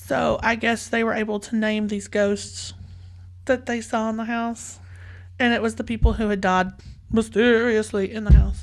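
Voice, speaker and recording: Over noticeable background noise, a woman with a Southern US accent speaks at a moderate pace. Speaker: podcast host. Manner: storytelling.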